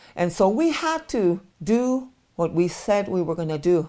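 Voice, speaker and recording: A woman at a moderate pace with very wide pitch swings, in a very clean recording with a silent background. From Crow Indian Reservation, Montana. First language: Crow. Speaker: nonprofit executive director. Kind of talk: interview storytelling.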